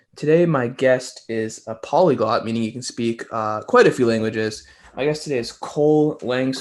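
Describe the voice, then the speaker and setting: A man's unremarkable speaking voice at a moderate pace, with ordinary pitch variation against a quiet background. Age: 20s. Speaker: podcast host. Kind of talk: casual interview chat.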